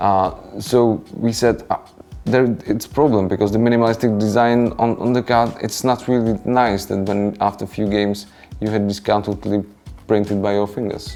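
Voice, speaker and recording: A man's fairly low, monotone, flat voice with a non-native accent at a moderate pace, music in the background. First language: non-native English speaker. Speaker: board game designer. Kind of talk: interview. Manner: halting, many fillers.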